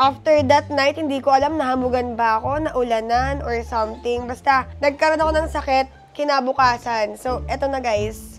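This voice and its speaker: Music plays in the background. A woman with a high voice speaks at a moderate pace. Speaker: beauty vlogger. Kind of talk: casual vlog, unboxing. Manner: animated.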